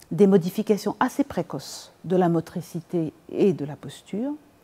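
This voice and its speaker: A woman talks at a fairly slow pace in a fairly low pitch, her tone dark and mellow, with ordinary pitch variation. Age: 60s. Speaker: professor and researcher. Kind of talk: interview. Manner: frequent hesitations.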